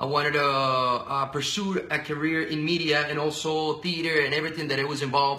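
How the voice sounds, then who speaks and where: A man with a Spanish accent speaks in a fairly high, flat monotone with a bright, sharp tone. Audible echo fills the room. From Venezuela. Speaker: radio and TV personality. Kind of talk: casual interview. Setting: live video stream. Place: office. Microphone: webcam.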